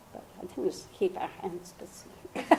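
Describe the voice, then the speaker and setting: Speaking very slowly, the woman has an American accent. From England, near Oxford. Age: 90s. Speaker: oral history interviewee, mother. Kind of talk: oral history interview.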